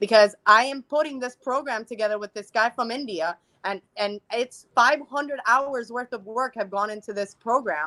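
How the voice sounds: A woman talks at a fairly quick pace with a fairly high pitch, a bright, sharp tone and ordinary pitch variation.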